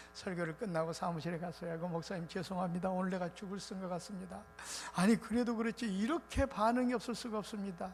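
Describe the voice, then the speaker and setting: With music in the background, a man talks very fast in a high voice with ordinary pitch variation. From South Korea, Muan (South Jeolla). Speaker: revival preacher. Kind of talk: sermon.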